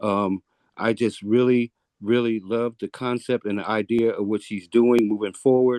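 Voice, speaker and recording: Dark and mellow in tone, a man speaks at a medium pitch in a monotone, flat intonation. The sound is dry and close, with no echo. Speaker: public commenter, Marine veteran and EMT. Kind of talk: public comment at hearing. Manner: fast; halting, repeats words.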